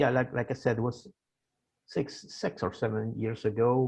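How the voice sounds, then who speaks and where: Little can be heard behind the speaker. He is a man talking at a medium pitch. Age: 60s. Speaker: author. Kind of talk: interview. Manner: halting.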